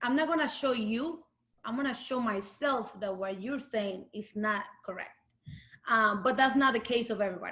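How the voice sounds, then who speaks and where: A woman with a Latin American accent has a fairly high pitch and a bright, sharp tone. She keeps a moderate pace with ordinary pitch variation. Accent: Latin American Spanish accent, noticeable. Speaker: UX design lead. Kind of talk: interview talk. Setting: video call. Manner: halting, many fillers.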